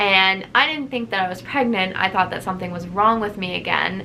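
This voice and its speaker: Room echo clearly audible on a woman's voice of medium pitch. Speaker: vlogger. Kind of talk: personal vlog testimony.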